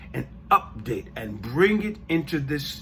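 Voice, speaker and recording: Lively intonation at a fairly slow pace, with an American accent. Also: man. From United States. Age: 60s. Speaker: podcast host. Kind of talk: podcast monologue. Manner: halting, with self-corrections and repeated words.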